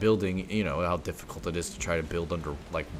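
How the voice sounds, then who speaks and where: This man talks at a fairly quick pace. The intonation is fairly even throughout. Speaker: gaming video creator. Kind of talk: casual chat. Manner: halting.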